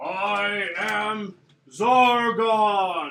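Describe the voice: This is a man doing a put-on character voice. He pitches it high for a man.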